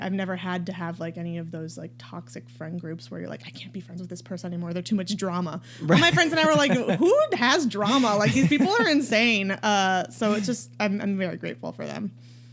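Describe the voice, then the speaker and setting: A woman with an American accent talks with hardly any pauses in a medium-pitched voice that swings very widely, with noticeable background noise behind her. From Harrisburg, Pennsylvania. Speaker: comedian. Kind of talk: interview answer. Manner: casual, chatty.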